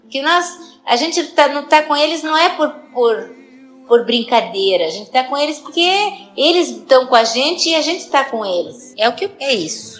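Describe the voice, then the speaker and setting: A high-pitched woman speaks with lively intonation at a moderate pace while music plays in the background. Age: 60s. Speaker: person with Parkinson's. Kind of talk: personal testimony.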